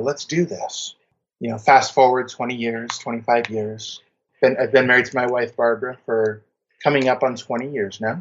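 A man's mid-range voice rises and falls in an ordinary way at a moderate speed. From US (military family, moved around). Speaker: accountant and writer. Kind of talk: interview, personal testimony. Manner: halting, repeats words.

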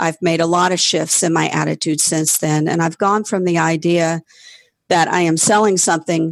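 A woman with an American accent speaks at a moderate pace in a fairly low pitch, with a plain, everyday voice. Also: dry, close sound with no echo. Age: 50s. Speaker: yoga studio owner. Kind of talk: interview. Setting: remote call.

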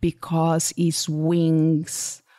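Recorded with a dry, close sound and no echo, a woman with a Portuguese accent speaks in a fairly low voice with a dark, mellow tone. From Portugal. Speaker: podcast host and business coach. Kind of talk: solo podcast monologue.

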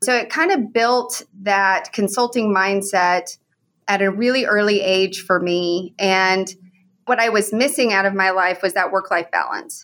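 An ordinary speaking voice from a woman with an American accent, medium pitch, ordinary pitch variation, very even loudness and a fairly slow pace, in a very clean recording with a silent background. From Oklahoma. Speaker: consulting firm CEO. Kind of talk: interview.

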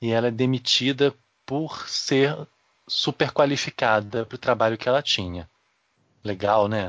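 Pausing often and at length, a man speaks at a fairly slow pace with a medium pitch and ordinary pitch variation. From Rio de Janeiro. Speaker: podcast co-host. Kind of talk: casual chat.

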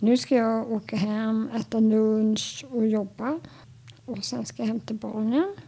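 Over noticeable background noise, a woman talks very slowly in a fairly high voice with ordinary pitch variation. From Stockholm archipelago, Sweden. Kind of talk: interview.

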